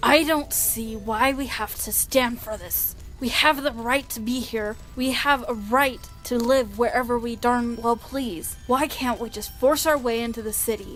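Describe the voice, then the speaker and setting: A cartoonish character voice, female-sounding and high-pitched, at a moderate pace over clear background music. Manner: loud, aggressive, brash.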